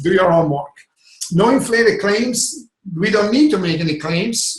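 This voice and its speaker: A man speaks with ordinary pitch variation. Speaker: network marketing product trainer. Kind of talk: online sales training webinar. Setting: video call webinar. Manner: fast.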